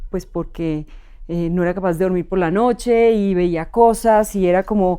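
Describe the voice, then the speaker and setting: Her tone is dark and mellow. This woman keeps her intonation fairly even. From Colombia, Manizales. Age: 30s. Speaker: spiritual coach for companies. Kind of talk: personal testimony interview.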